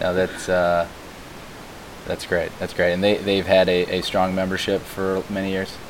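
A man with an American accent talks at a moderate pace in a very deep, low pitch. His intonation stays monotone and flat over noticeable background noise. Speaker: podcast host. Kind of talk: interview, casual chat. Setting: remote recording with static.

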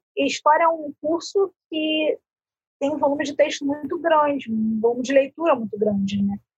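High-pitched female voice with a dry, close sound and no echo. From Rio de Janeiro, Brazil. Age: 20s. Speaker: university student. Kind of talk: casual chat.

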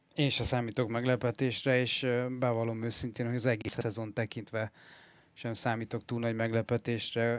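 In monotone, flat intonation, a man of medium pitch talks at a moderate pace. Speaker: sports journalist. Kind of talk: sports analysis discussion.

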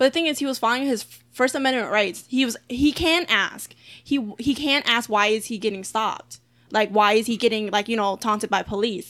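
A woman talks at a fairly quick pace in an American accent, with a fairly high pitch and ordinary pitch variation. She has a plain, everyday voice. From Philadelphia, US Northeast. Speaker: podcast co-host. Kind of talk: casual chat.

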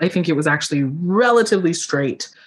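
Against a quiet background, someone with an American accent speaks at a fairly quick pace. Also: woman. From US Northeast, Philadelphia. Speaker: body liberation coach. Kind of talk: interview.

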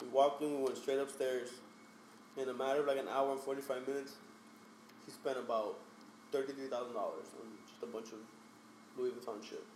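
Speaking at a fairly quick pace but with long, frequent pauses, a man with an American accent uses medium pitch and monotone, flat intonation. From Hialeah, Miami area, Florida. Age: 30s. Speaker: photographer. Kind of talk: casual chat. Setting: studio.

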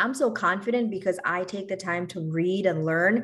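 A woman speaks with an American accent in an unremarkable speaking voice. Her pitch is medium with ordinary variation, at a moderate pace. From New York City, of Bangladeshi family. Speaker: physician and health insurance business owner. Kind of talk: interview podcast.

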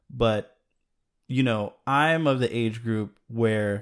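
In a very clean recording with a silent background, a man with an American accent speaks very slowly at a fairly low pitch. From Chicago. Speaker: video maker. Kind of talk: casual chat.

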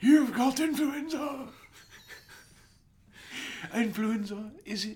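Delivered at a very slow pace, a put-on character voice sits at a fairly high pitch in a British accent.

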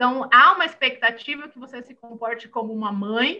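Bright, sharp tone in a woman's raised, projected voice. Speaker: entrepreneur and mental health startup founder. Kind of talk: interview conversation.

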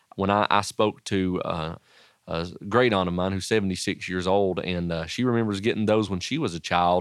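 Over a quiet background, a man talks with an Appalachian accent at a moderate pace. His pitch is fairly low and his intonation fairly even. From Southwest Virginia, Wise County (Appalachia). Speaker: pastor and education professor. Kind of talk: interview.

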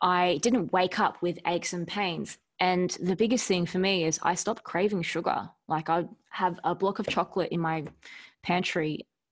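A woman speaks with an Australian accent at a fairly low pitch. The background is quiet. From Melbourne, Australia. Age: 30s. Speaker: entrepreneur. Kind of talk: casual interview.

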